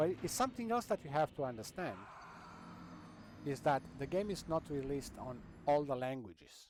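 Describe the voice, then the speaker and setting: A fairly high-pitched man with a Romanian accent, very wide pitch swings, a moderate pace, and long, frequent pauses. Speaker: gaming streamer. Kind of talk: casual gameplay commentary.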